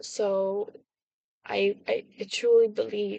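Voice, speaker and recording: A woman's voice in monotone, flat intonation. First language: not English. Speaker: video blogger. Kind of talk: casual monologue. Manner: halting, many fillers and restarts.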